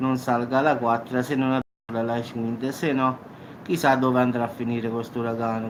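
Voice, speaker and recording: Flat, monotone delivery from a man at a medium pitch. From Salerno, southern Italy. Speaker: YouTube news commentator. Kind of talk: casual talk to camera.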